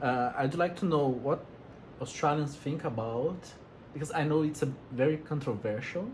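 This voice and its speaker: Speaking in a Brazilian accent at a fairly high pitch, a man keeps a moderate pace with ordinary pitch variation and long, frequent pauses. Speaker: interviewer. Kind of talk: casual interview.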